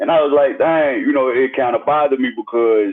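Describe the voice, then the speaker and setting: A man with a Mississippi accent talks at a moderate pace. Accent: Southern US, Mississippi. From Jackson, Mississippi. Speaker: hip-hop artist. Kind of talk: interview answer.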